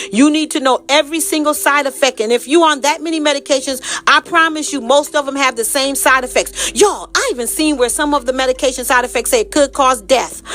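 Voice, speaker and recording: Over noticeable background noise, a woman speaks in an animated tone at a very fast pace with hardly any pauses, her pitch high with ordinary variation. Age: 60s. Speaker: health and wellness advocate. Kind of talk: casual monologue.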